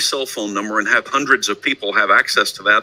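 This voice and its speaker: With a slight Texan accent, a man talks at a fairly quick pace in a dry, close sound with no echo. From Texas, Houston. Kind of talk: presentation.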